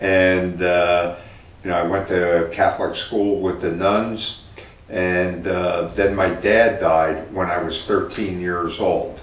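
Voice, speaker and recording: A man with a New Jersey accent speaks very slowly at a very deep, low pitch in a monotone, flat intonation. Noticeable background noise and audible room echo are present. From New Jersey (Newark). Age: 60s. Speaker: city mayor, former Marine and physical therapist. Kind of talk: interview. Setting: in-person interview at a car dealership. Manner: conversational with frequent fillers.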